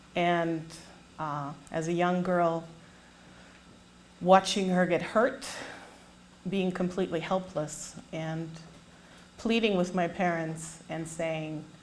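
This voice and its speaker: A woman with a fairly low voice speaks very slowly, leaving long, frequent pauses. The room echo is audible. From Germany. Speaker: public speaker. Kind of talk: testimony. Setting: stage with audience.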